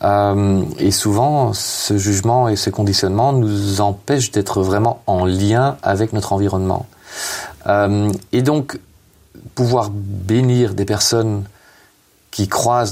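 A man speaks at a very slow pace. His loudness stays very even and his pitch varies in an ordinary way. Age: 50s. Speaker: author and hospital chaplain. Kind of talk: interview. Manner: halting, many hesitations.

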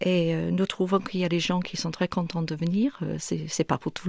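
A woman with an English accent, a fairly low pitch and a dark, mellow tone, at a moderate pace with fairly even intonation, on a very clean recording with a silent background. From northern England, near Manchester and Liverpool. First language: English (speaking French). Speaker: church event organiser. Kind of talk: radio interview. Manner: hesitant, many fillers.

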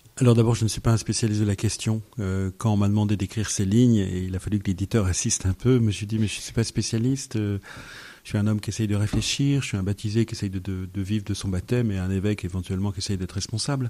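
A man's fairly low, dark, mellow voice with fairly even intonation. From France, Yvelines (Paris region). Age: 50s. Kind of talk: radio interview. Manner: halting, repeats words.

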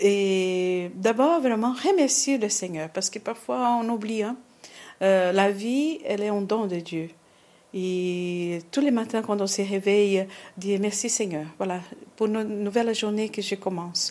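With a Portuguese accent, a woman speaks in a dark, mellow tone. Her pace is very slow. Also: medium pitch for a woman, ordinary pitch variation. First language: Portuguese (speaking French). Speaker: nun. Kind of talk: interview. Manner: halting.

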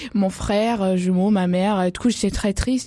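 This is a woman speaking at a medium pitch. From Australia (Perth). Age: young. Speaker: sailing adventurer and author. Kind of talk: radio interview. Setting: studio. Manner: halting.

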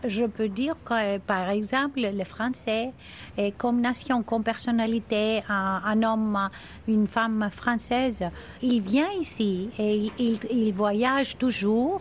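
A very slow, somewhat breathy delivery with a Greek accent, very even loudness and fairly even intonation. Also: woman, fairly high pitch for a woman. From Crete, Greece. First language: Greek (speaking French). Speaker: deputy mayor for tourism. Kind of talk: interview. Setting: outdoors. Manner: halting.

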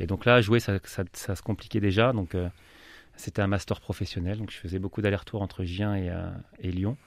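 In a very clean recording with a silent background, a man with a fairly low pitch speaks at a moderate pace with fairly even intonation. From France, Loiret (grew up there from young age). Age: 30s. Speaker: football coach. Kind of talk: radio interview. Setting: radio studio. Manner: hesitant, many fillers.

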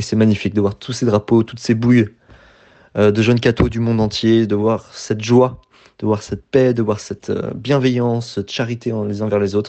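A man delivers his words fairly quickly in a medium pitch, the intonation monotone and flat. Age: 20s. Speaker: radio volunteer. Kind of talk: testimony.

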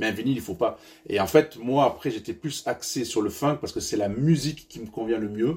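A man with a medium pitch and a dark, mellow tone talks at a fairly quick pace with lively intonation. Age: 40s. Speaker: funk vinyl collector, former mobile DJ. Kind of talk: radio interview. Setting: at his home. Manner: halting.

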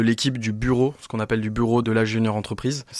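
Using a plain, everyday voice, a man talks fairly quickly at a medium pitch with fairly even intonation. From France, Dijon. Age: 20s. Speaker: entrepreneur, company co-founder. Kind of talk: radio interview.

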